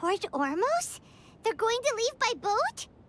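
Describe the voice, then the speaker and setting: Over music in the background, a put-on character voice squeaks at an extremely high pitch and a fairly slow pace. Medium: video game. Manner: excitable.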